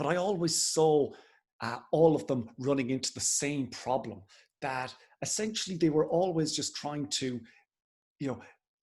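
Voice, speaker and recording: With an Irish accent, a man with a fairly high voice speaks at a moderate pace with ordinary pitch variation and long, frequent pauses. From Ireland. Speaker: political party director. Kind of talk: interview. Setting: video call.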